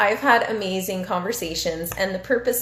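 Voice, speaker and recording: Audible room echo surrounds a woman speaking at a fairly quick pace and medium pitch with ordinary pitch variation. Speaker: recreation therapy interviewer. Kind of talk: live-stream Q&A. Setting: Instagram live video. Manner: animated.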